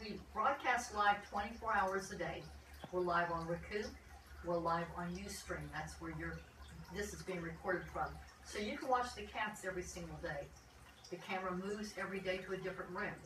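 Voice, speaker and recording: Speech at a moderate pace with ordinary pitch variation is heard over noticeable background noise. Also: woman. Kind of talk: casual update to viewers. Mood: calm, friendly. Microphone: camera far.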